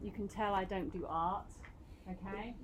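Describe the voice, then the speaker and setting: With a British accent, a woman talks at a moderate pace. Audible room echo surrounds her voice. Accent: very British. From Britain. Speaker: university lecturer. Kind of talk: lecture. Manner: animated.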